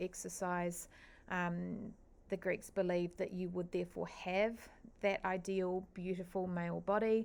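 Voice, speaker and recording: On a very clean recording with a silent background, a woman with a New Zealand accent speaks at a fairly slow pace. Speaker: teacher. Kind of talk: lecture. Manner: hesitant, frequent fillers.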